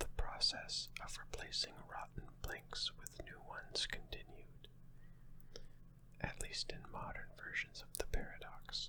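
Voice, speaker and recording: Someone whispers at a fairly slow pace. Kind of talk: ASMR sleep talk. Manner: whispered.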